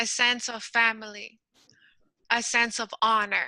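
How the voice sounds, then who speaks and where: A woman with a Quebec accent talks at a very slow pace. Her voice is fairly high, with a bright, sharp tone. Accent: Canadian French accent in English. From French Canada. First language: French. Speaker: emotional intelligence coach. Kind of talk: interview.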